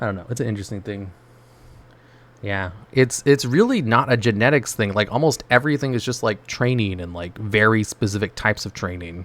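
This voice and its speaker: Using an ordinary speaking voice, a man talks at a fairly quick pace and fairly low pitch with ordinary pitch variation, big swings in loudness and a very clean recording with a silent background. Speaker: gaming streamer. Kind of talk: casual chat. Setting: live stream.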